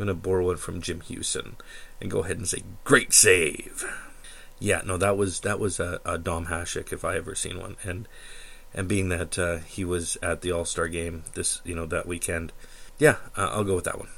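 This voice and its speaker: A man speaks at a moderate pace in a very deep, low voice, his intonation fairly even. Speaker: hockey podcast host. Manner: casual, conversational fan tone.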